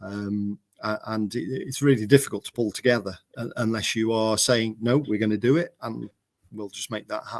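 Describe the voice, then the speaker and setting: With an English accent, a man speaks at a moderate pace and medium pitch, showing ordinary pitch variation and big swings in loudness in a dry, close sound with no echo. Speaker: mower company manager. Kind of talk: casual chat. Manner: halting, stuttering.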